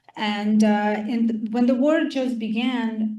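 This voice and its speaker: A woman with a Ukrainian accent speaks at a fairly slow pace, somewhat breathy and dark, mellow in tone. Audible room echo surrounds her. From Ukraine. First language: Russian or Ukrainian. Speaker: Ukrainian refugee guest speaker. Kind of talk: casual Q&A talk.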